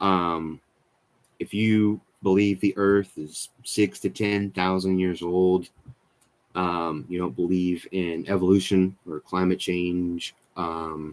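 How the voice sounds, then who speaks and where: Mumbling at a very slow pace, a man with an American accent speaks in a very deep, low voice with fairly even intonation. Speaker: skateboarding youtuber. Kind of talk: live stream chat. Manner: halting, many fillers.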